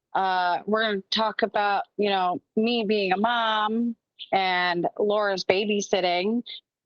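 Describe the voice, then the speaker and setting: With ordinary pitch variation, a woman speaks at a fairly slow pace in a normal speaking voice pitched fairly high. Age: 30s. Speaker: podcast co-host. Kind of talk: casual chat.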